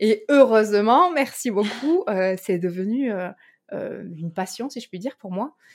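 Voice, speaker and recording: On a very clean recording with a silent background, a woman with a fairly high voice speaks very slowly, her loudness swinging widely and her intonation lively. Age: 20s. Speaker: company director. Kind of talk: interview.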